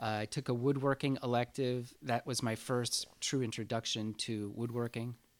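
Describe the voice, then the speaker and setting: A man's medium-pitched, monotone delivery with flat intonation, in an American accent, at a moderate pace with hardly any pauses. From San Francisco, US West Coast. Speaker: sculptor. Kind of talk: casual interview.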